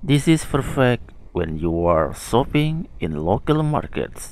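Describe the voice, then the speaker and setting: Speaking at a very slow pace, a man with a medium-pitched voice and an Indonesian accent makes very wide pitch swings. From Indonesia, Lombok. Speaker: language teacher. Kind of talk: tutorial. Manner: slow and clear.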